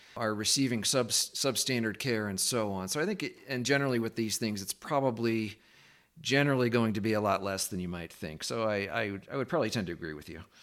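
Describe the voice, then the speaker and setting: A man speaks in a normal speaking voice at medium pitch, with ordinary pitch variation and a fairly quick pace. The recording is very clean and the background silent. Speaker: podcast host. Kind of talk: interview conversation.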